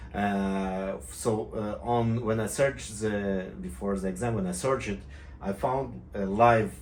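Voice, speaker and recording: A man with an Israeli accent, fairly low-pitched, at a fairly slow pace with very wide pitch swings and audible room echo. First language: Hebrew. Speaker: private pilot and tutorial maker. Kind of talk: casual video talk to viewers. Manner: halting, many fillers and restarts.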